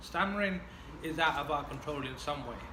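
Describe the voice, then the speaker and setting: A man's fairly high voice at a fairly quick pace, fairly even in intonation, with audible room echo and noticeable background noise. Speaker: person who stammers. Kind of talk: casual chat. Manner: stammering.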